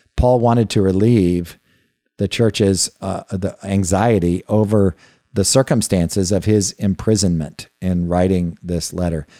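In a very clean, dry and close recording with no echo and a silent background, a man speaks fairly slowly in a fairly low, dark and mellow voice with fairly even intonation. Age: old. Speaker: podcast host and Bible teacher. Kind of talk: Bible teaching lecture. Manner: halting, many fillers and repetitions.

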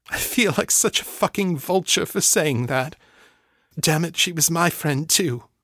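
A husky, put-on character voice at a moderate pace with ordinary pitch variation. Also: man, high pitch for a man. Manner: guilty, anguished.

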